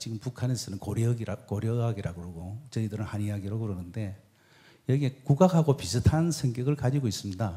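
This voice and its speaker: In a Busan accent, a man speaks at a medium pitch with a dark, mellow, somewhat breathy tone and lively intonation. His pace is fairly quick, and the recording is very clean with a silent background. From South Korea, Busan. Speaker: traditional medicine doctor. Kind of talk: stage talk interview.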